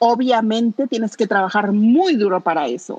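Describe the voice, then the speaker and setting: Pitch rises and falls in a lively way. The recording is dry and close, without any echo. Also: woman. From Mexico City. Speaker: radio co-host. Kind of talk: casual chat.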